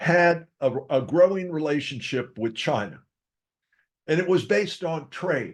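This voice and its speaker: A man with a high pitch talks at a fairly slow pace. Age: 70s. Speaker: podcast host on economics and investing. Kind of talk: casual monologue. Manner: conversational, opinionated.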